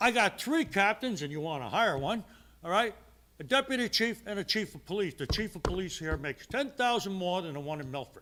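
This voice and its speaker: A man projects his voice in a raised, bright, sharp tone. His pitch is high and swings very widely. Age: 70s. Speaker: public commenter at council meeting. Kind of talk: public comment. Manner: blunt, emphatic.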